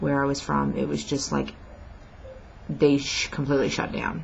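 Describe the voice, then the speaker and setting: There is audible room echo in this clip. A woman is the one talking. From New Jersey. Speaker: vlogger on weight-loss surgery. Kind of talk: casual vlog rant. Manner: hesitant, many fillers.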